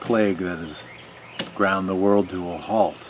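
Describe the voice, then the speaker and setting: Over light background noise, a man with a fairly low pitch speaks at a fairly slow pace with monotone, flat intonation. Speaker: video commentator. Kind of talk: opinion monologue to camera. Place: garden.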